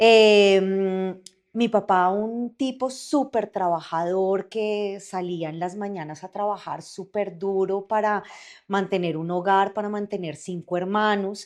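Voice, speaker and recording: With a quiet background, a woman at medium pitch speaks at a very slow pace with fairly even intonation. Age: 40s. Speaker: journalist and adoptive mother. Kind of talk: interview testimony.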